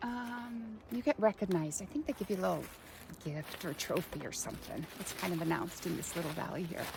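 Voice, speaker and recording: A woman with an American accent talks at a fairly quick pace in a relaxed tone. Her intonation is lively, and there is noticeable background noise. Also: medium pitch for a woman. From California, US. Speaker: vlogger, former model and actress. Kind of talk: walk and talk vlog. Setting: outdoors on a hike. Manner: casual, relaxed.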